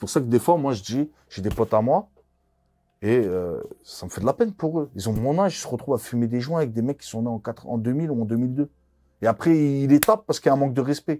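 Here a man talks at a very fast pace in a dark, mellow tone. His intonation is lively, with big swings in loudness. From France. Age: 40s. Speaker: former criminal; interviewee. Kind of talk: interview. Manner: casual, hesitant with many fillers. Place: studio. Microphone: lapel.

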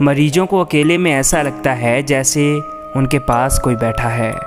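A man at a very slow pace, ordinary pitch variation, music in the background. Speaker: travel vlogger narrator. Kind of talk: documentary-style vlog narration.

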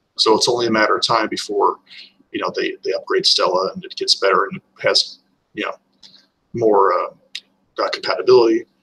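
A man with an American accent talks at a fairly quick pace, with big swings in loudness. Light background noise is present. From US West (Utah). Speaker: retro gaming enthusiast; podcast co-host. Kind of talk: casual chat. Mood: relaxed, chatty. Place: home room. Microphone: webcam.

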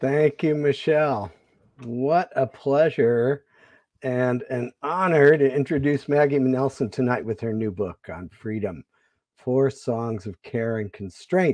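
A man speaks at a very slow pace, his voice dry with no echo against a quiet background. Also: ordinary pitch variation. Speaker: literary organization director. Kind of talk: formal introduction. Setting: video call. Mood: warm, formal. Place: home room. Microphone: earbuds.

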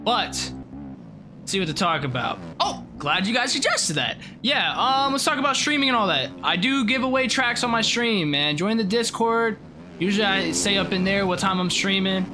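Noticeable background noise sits under a man's raised, projected voice. He keeps a moderate pace and very even loudness. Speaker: gaming streamer. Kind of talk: gameplay commentary. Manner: high-energy, animated. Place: home room.

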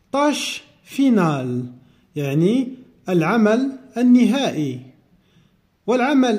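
A man with a high voice and a dark, mellow tone. The room echo is audible. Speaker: French teacher. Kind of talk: lecture.

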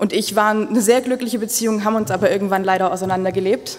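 At a very fast pace, a woman talks with a fairly high pitch. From Ulm, Swabia, southern Germany; Swabia. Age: 20s. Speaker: mayoral candidate; candidate. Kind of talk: campaign speech. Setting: public event with audience. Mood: earnest, lightly humorous. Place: hall. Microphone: podium.

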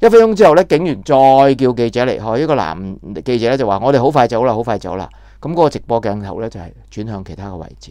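Very fast and with lively intonation, a man speaks in a dark, mellow tone. The background is quiet and the sound dry, with no echo. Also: big swings in loudness. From Hong Kong. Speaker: political commentator, former TV journalist; political commentator. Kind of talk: news commentary monologue. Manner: halting, many filler sounds. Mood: indignant, critical. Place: home room. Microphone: lapel.

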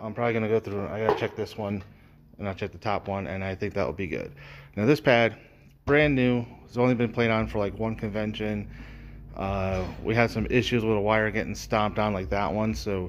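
Over light background noise, the voice moves at a fairly quick pace with ordinary pitch variation. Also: man, fairly low pitch for a man. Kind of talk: tutorial. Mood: relaxed, matter-of-fact. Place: workshop. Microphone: phone near.

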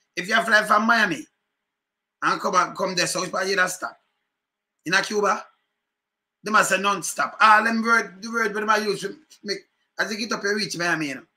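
A man with a Jamaican accent talks fairly quickly in a raised, projected voice, high-pitched with ordinary pitch variation. His tone is animated, bright and sharp, broken by long, frequent pauses. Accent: Jamaican Patois. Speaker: political commentary vlogger; political commentator, live streamer. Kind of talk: casual commentary. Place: home room. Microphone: webcam.

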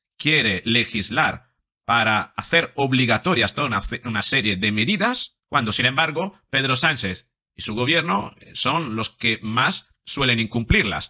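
Against a quiet background, a man speaks at a moderate pace in a bright, sharp tone. His intonation is lively, with big swings in loudness. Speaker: psychologist commentator. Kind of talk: commentary. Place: home room. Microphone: studio mic.

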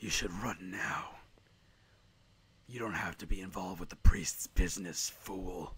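A man whispers hoarsely in a put-on character voice, leaving long, frequent pauses. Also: moderate pace. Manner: angry.

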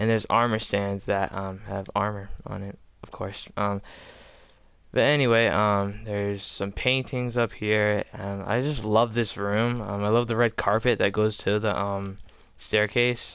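Monotone and flat in intonation, a man speaks at a fairly slow pace. The recording is very clean, with a silent background. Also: fairly low pitch for a man. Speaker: Minecraft builder showing a build. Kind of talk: casual tutorial-style build tour. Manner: halting, many filler ums.

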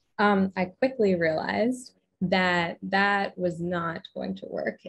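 Her voice is somewhat breathy, with fairly even intonation. The background stays quiet. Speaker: podcast guest. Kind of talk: interview answer. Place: home room. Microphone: studio mic.

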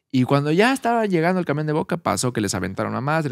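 A man at a fairly high pitch, very fast pace and very wide pitch swings, in a dry sound with no echo over a quiet background. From Mexico City. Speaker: podcast host. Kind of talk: casual chat. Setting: at a home. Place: studio. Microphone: studio mic.

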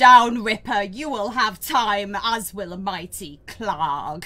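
A woman growls in a put-on character voice at medium pitch. She speaks at a fairly slow pace. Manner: commanding, menacing.

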